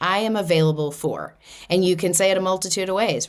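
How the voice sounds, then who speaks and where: A woman with a Boston accent at a moderate pace, on a very clean recording over a silent background. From US Northeast, Boston. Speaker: spiritual podcast host. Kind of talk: podcast monologue on spirituality. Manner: casual, conversational.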